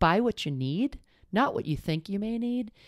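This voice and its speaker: At a moderate pace, a woman speaks with lively intonation against a quiet background. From Boston. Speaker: sportswear company founder; podcast guest. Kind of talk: casual interview. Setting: in person at company headquarters. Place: home room. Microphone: handheld.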